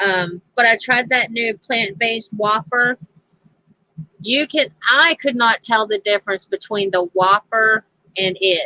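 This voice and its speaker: A woman with a Southern US accent speaks at a fairly slow pace, her fairly high voice bright and sharp in tone. Her pitch varies in an ordinary way, and the sound is dry and close with no echo. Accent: southern twang. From US South, Tennessee. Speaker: crafting livestreamer. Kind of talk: casual chat. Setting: livestream. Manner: halting.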